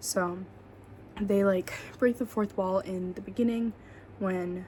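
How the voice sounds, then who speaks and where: At a very slow pace, a woman speaks in a somewhat breathy, medium-pitched voice with monotone, flat intonation. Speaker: podcast host. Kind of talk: casual solo podcast talk. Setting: at home, roommate asleep nearby. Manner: quiet, hushed; hesitant, filler-heavy. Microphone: quiet recording.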